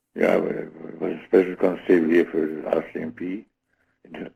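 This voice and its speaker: A man speaks with a very deep, low pitch. His pace is fairly quick and his intonation fairly even. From Germany. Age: 70s. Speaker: retired wrestling referee. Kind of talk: interview. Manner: halting.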